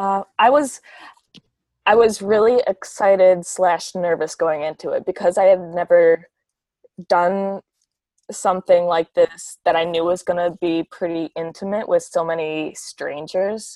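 In an Upper Midwest US accent, a woman with a medium-pitched voice speaks fairly slowly and with fairly even intonation, the sound dry and close with no echo. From US Midwest. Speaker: university student. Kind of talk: casual interview.

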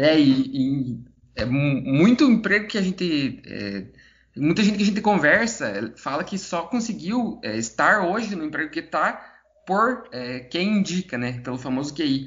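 A man speaks at a high pitch with very wide pitch swings. His pace is fairly slow. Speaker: podcast co-host. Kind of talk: interview.

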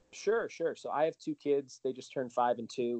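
Recorded dry and close with no echo against a quiet background, a man speaks at a moderate pace with an American accent. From Chicago suburbs, Illinois. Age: 30s. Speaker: trivia host. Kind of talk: casual chat.

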